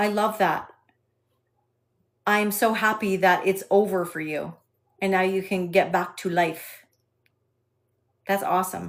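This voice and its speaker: With a slight Canadian accent, a woman speaks at a fairly slow pace and medium pitch, in a flat monotone broken by long, frequent pauses. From Canada, Alberta. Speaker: sex and intimacy specialist. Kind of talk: live stream Q&A with chat. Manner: hesitant with frequent fillers.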